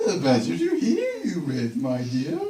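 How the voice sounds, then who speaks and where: With audible echo, a man puts on a croaky, squeaky character voice at a fairly high pitch and a moderate pace. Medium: read story. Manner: sly, falsely sweet.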